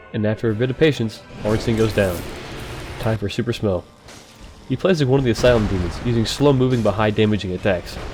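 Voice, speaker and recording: A man's voice at a very fast pace with long, frequent pauses, medium pitch and ordinary pitch variation, with music in the background. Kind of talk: gaming commentary voiceover. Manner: casual, joking.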